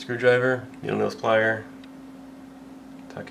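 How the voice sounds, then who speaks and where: A man mumbles at a very slow pace, with noticeable background noise and audible room echo. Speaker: airsoft hobbyist tutorial maker. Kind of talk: tutorial. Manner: mumbling; casual.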